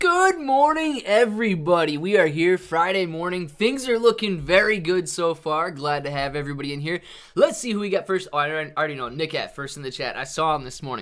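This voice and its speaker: A man at a fairly quick pace, hardly any pauses, big swings in loudness, quiet background. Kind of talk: casual livestream chat. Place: home room.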